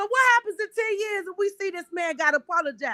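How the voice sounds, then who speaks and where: A woman projects a raised voice, bright and sharp in tone. She sounds animated, with very wide pitch swings, in a dry, close sound with no echo. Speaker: podcast host. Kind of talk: casual chat. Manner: loud.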